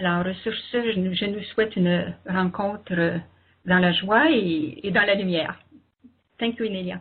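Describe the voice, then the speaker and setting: In a Quebec accent, a woman with a medium pitch speaks at a fairly slow pace, with ordinary pitch variation and long, frequent pauses. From Quebec, Canada. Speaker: interpreter and co-host. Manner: hesitant, many fillers.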